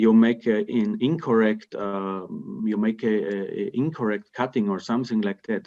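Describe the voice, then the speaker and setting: A man speaks at a moderate pace with a dark, mellow tone. His intonation is fairly even, and the background is quiet. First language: German (Austrian dialect). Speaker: timber construction company representative; webinar panelist. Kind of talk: webinar Q&A. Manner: halting, many repetitions and fillers. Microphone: video call.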